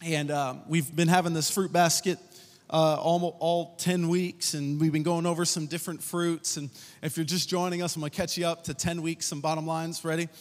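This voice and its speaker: A man speaks in a high voice at a moderate pace. His intonation stays flat and monotone. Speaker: pastor. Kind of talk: sermon. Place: stage. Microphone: handheld.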